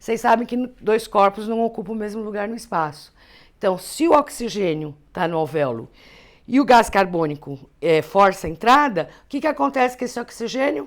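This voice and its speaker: Pitched fairly high, a woman's voice moves through very wide pitch swings. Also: moderate pace. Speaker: teacher. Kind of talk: lecture. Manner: conversational.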